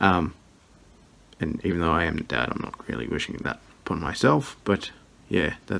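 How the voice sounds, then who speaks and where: A man with an Australian accent speaks quietly with a very deep, low pitch. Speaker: vlogger, scrapyard owner. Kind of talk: casual vlog. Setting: at home at night. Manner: quiet, hushed.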